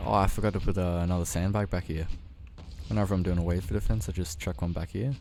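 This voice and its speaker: A man talks at a very fast pace in a very deep, low pitch with ordinary pitch variation. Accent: Australian. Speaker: gaming youtuber. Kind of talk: gameplay commentary. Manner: casual, relaxed.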